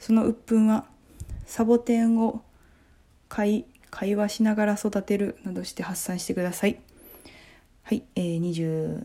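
Pausing long and often at a fairly slow pace, a woman speaks in a fairly high, somewhat breathy voice with a dark, mellow tone and fairly even intonation. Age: 20s. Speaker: comedian and podcast host. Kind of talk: casual book review monologue.

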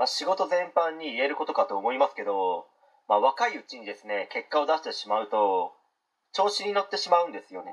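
Speaking at a fairly quick pace, a man lets his loudness swing widely. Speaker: podcast host. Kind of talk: solo talk monologue.

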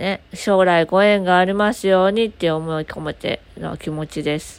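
With an unremarkable speaking voice, a woman delivers her words at a moderate pace, her medium pitch showing ordinary pitch variation. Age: 20s. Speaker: podcaster; aspiring support worker. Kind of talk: casual solo talk.

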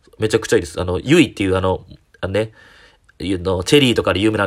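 Talking at a very fast pace, the man has a very deep, low pitch. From Japan, Kyoto (Shijo-Omiya). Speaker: comedian. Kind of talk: solo talk podcast monologue. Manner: casual, many filler pauses.

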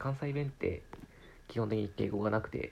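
Somewhat breathy and relaxed in tone, a man speaks at a moderate pace with ordinary pitch variation. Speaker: podcaster. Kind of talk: casual monologue.

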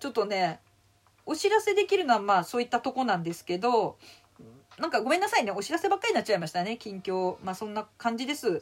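A woman with a fairly high pitch and very wide pitch swings. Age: 50s. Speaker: comedian. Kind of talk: casual chat. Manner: animated.

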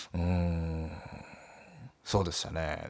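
A man's voice, very deep and low in pitch. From Nagasaki, Japan. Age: 20s. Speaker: solo radio talker, comedian. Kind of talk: solo talk, casual monologue. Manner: casual, chatty, laughs often.

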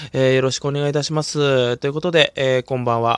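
Fairly high for a man, a calm voice talks at a fairly quick pace in a very clean recording with a silent background and a dry, close sound with no echo. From Hokkaido, Japan. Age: 20s. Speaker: comedian. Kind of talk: solo podcast monologue. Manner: frequent filler hesitations.

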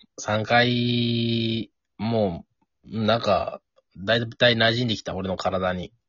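This man speaks very slowly at a medium pitch. His intonation stays fairly even. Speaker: podcast co-host. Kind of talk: casual chat.

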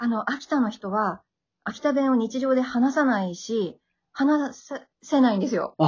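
Speaking at a moderate pace, a woman uses ordinary pitch variation. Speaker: podcaster promoting Akita dialect. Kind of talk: casual chat.

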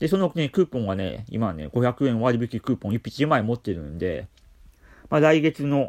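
A man at medium pitch talks at a moderate pace with vocal fry and very wide pitch swings. The recording is very clean and dry, with a silent background and a close sound with no echo. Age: 40s. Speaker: care worker and podcaster. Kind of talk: solo talk. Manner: calm.

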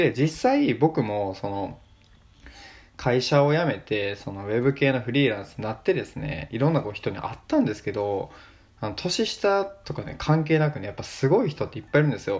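With a medium pitch and very wide pitch swings, a somewhat breathy man talks at a fairly quick pace, his loudness rising and falling sharply. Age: 20s. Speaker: podcaster. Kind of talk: solo casual talk.

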